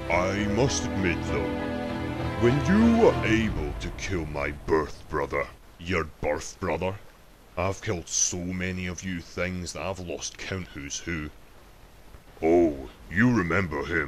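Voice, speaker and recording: With clear background noise, a man uses a put-on character voice at a very deep, low pitch, a fairly slow pace and long, frequent pauses. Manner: gloating, menacing, formal.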